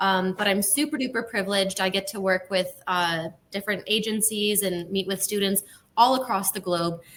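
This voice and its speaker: A woman with a plain, everyday voice speaks at a medium pitch in an American accent, at a moderate pace and with fairly even intonation. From United States. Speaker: university recruitment manager. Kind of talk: webinar presentation.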